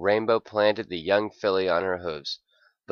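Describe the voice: In plain reading aloud with fairly even intonation, the voice sits over a quiet background.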